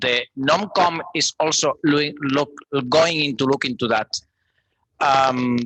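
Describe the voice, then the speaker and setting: A man with a fairly high pitch and a bright, sharp tone talks at a fairly slow pace with long, frequent pauses and ordinary pitch variation, the sound dry and close with no echo. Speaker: policy proposal author. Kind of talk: debate response at open microphone.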